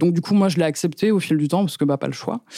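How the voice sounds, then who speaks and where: A woman's very deep, low voice with a dark, mellow tone and fairly even intonation. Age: 20s. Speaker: podcast guest. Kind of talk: testimony. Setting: studio. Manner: halting.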